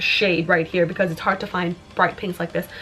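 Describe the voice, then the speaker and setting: A woman speaks over noticeable background noise. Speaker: beauty youtuber. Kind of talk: makeup review. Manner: halting, with fillers.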